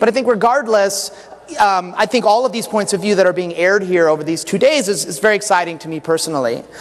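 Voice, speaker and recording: A loud voice with ordinary pitch variation, against noticeable background noise. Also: man. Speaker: game designer and conference speaker. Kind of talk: conference talk. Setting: stage with audience. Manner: halting, many fillers and restarts. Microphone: echo in the room.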